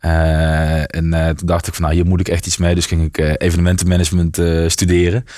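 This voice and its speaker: Very deep and low, a man's voice moves at a moderate pace. The recording is very clean, with a silent background. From Netherlands, Limburg (near Maastricht). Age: 30s. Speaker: entrepreneur, IT company founder. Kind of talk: interview.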